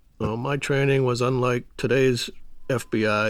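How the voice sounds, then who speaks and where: With an American accent, a man talks at a moderate pace and medium pitch. It is an unremarkable speaking voice with fairly even intonation. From Boston area, Massachusetts. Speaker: retired FBI undercover agent. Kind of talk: interview storytelling.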